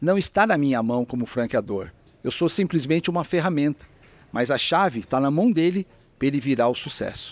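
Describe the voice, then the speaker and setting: A man with an unremarkable speaking voice talks at a moderate pace, fairly high in pitch, with lively intonation. The recording is very clean, with a silent background and a dry, close sound with no echo. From São Paulo, Brazil (Mooca, east side). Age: 60s. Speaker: franchise businessman. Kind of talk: interview conversation. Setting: restaurant.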